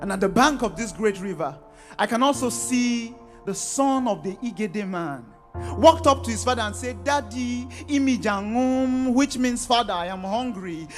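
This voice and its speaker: With music in the background, a man speaks at a high pitch and a moderate pace, using lively intonation. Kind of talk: spoken word poetry performance. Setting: live event before a youth audience.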